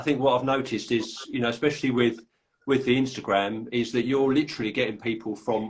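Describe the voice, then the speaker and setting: Talking at a fairly quick pace, a man with a London accent keeps a medium pitch and fairly even intonation. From London, England. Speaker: podcast host and author. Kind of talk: casual chat. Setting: live video call. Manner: halting.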